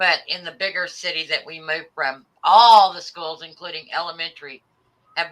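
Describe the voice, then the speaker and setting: An unremarkable speaking voice from a woman with an American accent, ordinary pitch variation and a moderate pace. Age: 50s. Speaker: livestream host. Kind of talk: casual chat. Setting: live stream.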